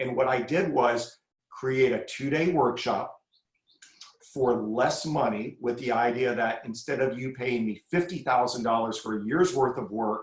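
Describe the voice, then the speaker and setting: A somewhat breathy man at a medium pitch, with ordinary pitch variation and a fairly slow pace. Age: 60s. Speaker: crisis communications expert. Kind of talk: podcast interview.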